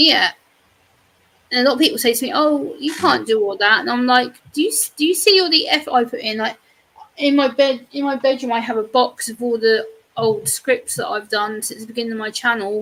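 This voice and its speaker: A woman with an English accent speaks in a high voice full of lively intonation. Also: fairly quick pace. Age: 30s. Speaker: YouTuber. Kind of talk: casual chat.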